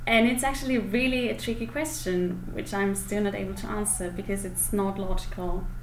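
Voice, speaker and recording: A woman with a German accent talks at a fairly quick pace with hardly any pauses, at medium pitch with ordinary pitch variation, amid noticeable background noise and audible room echo. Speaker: German speaker and teacher. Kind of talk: interview. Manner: hesitant with fillers.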